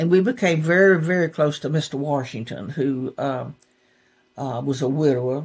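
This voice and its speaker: Very deep and low in pitch, a woman with a Southern US accent talks at a moderate pace with ordinary pitch variation on a very clean recording with a silent background. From Gulfport, Mississippi. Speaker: poet laureate, songwriter. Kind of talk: interview answer. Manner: casual storytelling.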